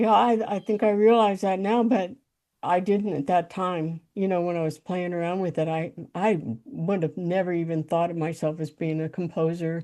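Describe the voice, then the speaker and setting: A woman with an American accent speaks at a moderate pace in a fairly low, dark and mellow voice with ordinary pitch variation, against a quiet background. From US South, Tennessee Appalachians. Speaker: composer. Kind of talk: interview, life story. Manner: halting, many fillers and repeats.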